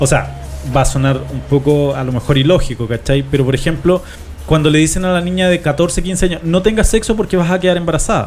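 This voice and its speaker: A man with a Chilean accent speaks in a fairly high pitch with ordinary pitch variation. Music plays in the background. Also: fairly quick pace. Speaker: radio host. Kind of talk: casual chat.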